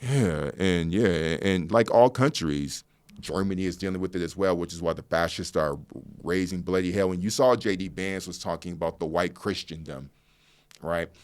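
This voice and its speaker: A man's very deep, low voice in an American accent, with ordinary pitch variation and a moderate pace, on a very clean recording with a silent background. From United States. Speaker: podcast host and journalist. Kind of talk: interview conversation.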